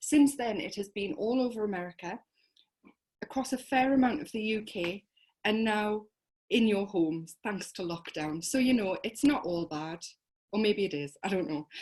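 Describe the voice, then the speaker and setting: A woman speaks in a fairly high, somewhat breathy voice with lively intonation. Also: moderate pace. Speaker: host of online crime fiction reading night. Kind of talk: event hosting introduction. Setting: video stream. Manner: sounds sarcastic even when genuine.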